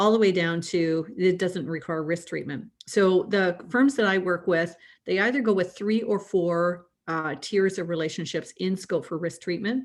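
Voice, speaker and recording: A woman with a Canadian accent and an unremarkable speaking voice, at a moderate pace with ordinary pitch variation, over a quiet background. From Canada. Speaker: risk management consultant. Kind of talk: panel discussion.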